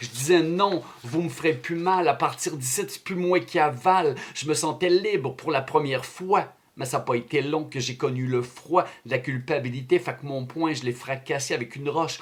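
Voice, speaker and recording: Speaking at a fairly slow pace over noticeable background noise, a man in a Quebec accent has fairly high pitch and ordinary pitch variation. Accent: Québécois French. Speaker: slam poet. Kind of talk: slam poetry performance.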